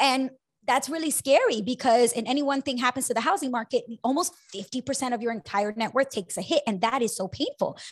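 A woman's animated, high-pitched voice at a fairly quick pace against a quiet background. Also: ordinary pitch variation. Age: 30s. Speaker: personal finance podcast host. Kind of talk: casual chat.

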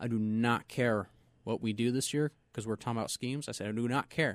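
A man with an American accent and a normal speaking voice, medium in pitch, at a fairly quick pace with ordinary pitch variation, in a dry, close sound with no echo. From US West (Southern California, Inland Empire). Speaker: race car driver. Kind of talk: interview. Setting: studio.

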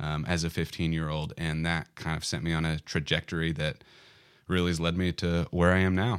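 A man's very deep, low voice in a monotone, flat delivery with an American accent, at a fairly quick pace, on a very clean recording with a silent background. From Arkansas, US South (Bentonville area). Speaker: church minister. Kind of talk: casual interview.

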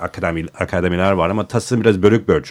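A man talks with ordinary pitch variation. Behind him the background is silent, and the recording is very clean. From United States. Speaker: designer and architecture writer. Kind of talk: casual chat. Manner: halting.

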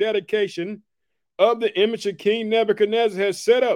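A man speaks at a fairly quick pace with high pitch. His tone is animated. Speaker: podcast host and preacher. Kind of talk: sermon. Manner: animated, fervent, punchy preacher cadence with repeated catchphrases; excitable.

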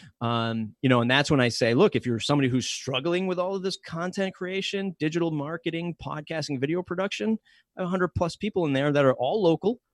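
A man with an American accent talks at a very fast pace with hardly any pauses, in a fairly high pitch with lively intonation. The sound is dry and close with no echo, over a quiet background. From Massachusetts South Coast. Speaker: podcast company director and podcast host. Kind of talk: casual interview.

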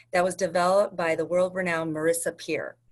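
A woman with a medium pitch talks over a quiet background. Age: 40s. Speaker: hypnotherapist. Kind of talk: interview. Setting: video call.

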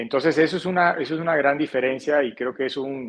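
A man with a Caribbean Colombian accent speaks at a medium pitch with ordinary pitch variation. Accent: Colombian Caribbean coast accent, noticeable. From Colombia, Barranquilla (Caribbean coast). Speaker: financial advisor. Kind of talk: interview. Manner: halting, many repetitions and fillers.

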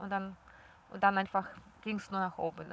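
A woman speaks with a Russian accent. Her pitch sits in the medium range. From Belarus. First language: Russian (speaking German). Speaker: yoga teacher and traveller. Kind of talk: casual interview. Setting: outdoors in a park.

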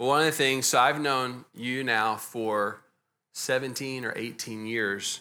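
Recorded very cleanly against a silent background, a man speaks at a fairly slow pace in a bright, sharp tone. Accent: Texas. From Texas. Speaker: pastor. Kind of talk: church interview. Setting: church with congregation.

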